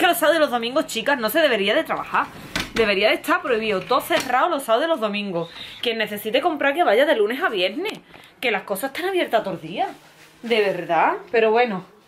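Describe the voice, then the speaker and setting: Over light background noise, a woman speaks at a very fast pace in a high pitch. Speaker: family vlogger. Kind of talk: casual vlog chat. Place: home room. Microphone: phone near.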